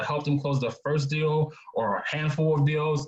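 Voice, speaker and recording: At a moderate pace, a man with a fairly high pitch speaks against noticeable background noise. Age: 20s. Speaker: real estate investor and speaker. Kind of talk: webinar presentation.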